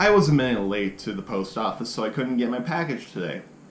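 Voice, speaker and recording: A man talks at a very fast pace in an animated tone. Noticeable background noise and audible room echo surround him. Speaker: guitar gear reviewer. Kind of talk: casual unboxing vlog.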